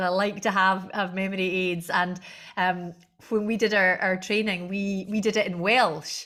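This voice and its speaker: A woman's medium-pitched voice moves at a moderate pace, its intonation monotone and flat. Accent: Scottish. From Scotland, Argyll. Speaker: Gaelic language director and singer. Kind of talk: interview conversation.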